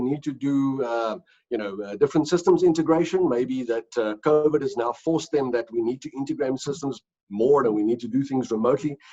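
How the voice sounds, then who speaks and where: With a South African accent, a man talks at a fairly quick pace. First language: Afrikaans. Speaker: company executive. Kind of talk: interview. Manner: hesitant, many fillers and repeats.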